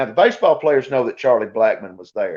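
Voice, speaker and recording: This is a man speaking. He has a North Georgia accent. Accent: Southern North Georgia. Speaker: college sports broadcaster. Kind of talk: podcast interview.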